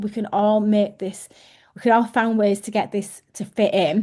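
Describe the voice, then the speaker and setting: A dark, mellow tone comes through in an English accent against a quiet background. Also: woman. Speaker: team leader. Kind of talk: team training call.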